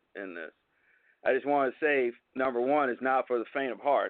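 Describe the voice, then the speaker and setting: With an American accent, a man speaks at a moderate pace and medium pitch in a plain, everyday voice. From Southern California, Los Angeles. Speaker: construction management CEO. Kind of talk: radio interview. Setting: phone call.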